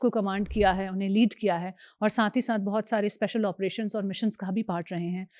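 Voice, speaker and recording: On a very clean, dry, close recording with no echo and a silent background, a woman speaks at a moderate pace with a medium pitch and monotone, flat intonation. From Kumaon, Uttarakhand, India. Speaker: podcast host. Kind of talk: podcast interview.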